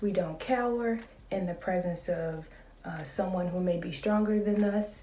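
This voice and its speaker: A woman's calm, medium-pitched voice at a fairly slow pace, with ordinary pitch variation, audible room echo and noticeable background noise. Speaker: vlogger. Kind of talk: casual vlog monologue.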